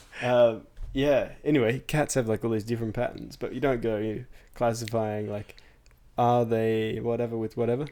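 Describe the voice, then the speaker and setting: A man with an Australian accent and medium pitch speaks at a moderate pace in a dark, mellow tone with flat, monotone intonation. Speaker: podcast co-host. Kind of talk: casual chat.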